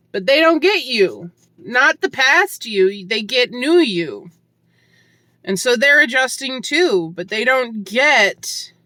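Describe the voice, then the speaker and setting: This voice is raised and projected, with a bright, sharp tone. It moves at a very slow pace through very wide pitch swings. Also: woman, high pitch for a woman. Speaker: hiker vlogger. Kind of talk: reflective vlog monologue. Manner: loud.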